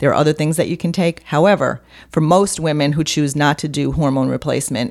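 A woman talks at a fairly quick pace in a very deep, low voice with ordinary pitch variation. The recording is very clean, with a silent background. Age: 60s. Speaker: holistic health coach and author. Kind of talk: interview.

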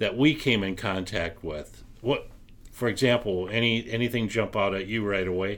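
Speaking in a normal speaking voice, a man keeps a moderate pace at a fairly low pitch. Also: ordinary pitch variation. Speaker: podcast co-host. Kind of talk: casual chat.

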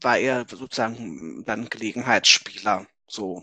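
A man's voice with a bright, sharp tone and a dry, close sound with no echo. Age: 30s. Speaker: author and gender researcher. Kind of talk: interview conversation.

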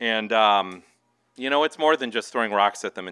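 This man talks at a very fast pace with an American accent. His pitch is fairly low and varies in an ordinary way. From Minnesota. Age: 40s. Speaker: novelist. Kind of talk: author reading and Q&A. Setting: bookstore event with audience.

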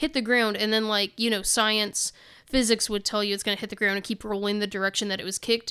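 On a very clean recording with a silent background, a woman talks very fast in a fairly high, bright, sharp voice with monotone, flat intonation. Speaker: podcast host. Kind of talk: casual chat. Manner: chatty, laughs often.

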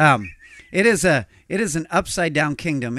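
A man speaks with lively intonation. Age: 40s. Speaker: pastor. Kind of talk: casual chat. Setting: studio.

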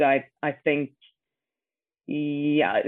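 A woman's voice with a very deep, low pitch. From Norway, near Oslo. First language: Norwegian. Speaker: actor. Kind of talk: casual interview.

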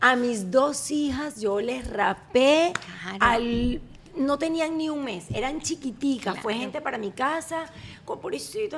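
Over noticeable background noise, a woman talks at a fairly slow pace. Her high voice carries lively intonation. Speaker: podcast host. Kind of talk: casual chat. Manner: animated.

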